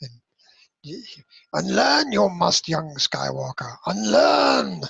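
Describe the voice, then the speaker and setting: Speaking very slowly, a man draws out his words. He is putting on a character voice. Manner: imitation, self-described as terrible.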